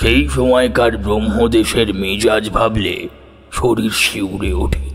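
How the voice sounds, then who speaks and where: A man performs a put-on character voice at a fairly low pitch and a fairly slow pace. Music plays in the background. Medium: audio drama. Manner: measured, brooding storytelling.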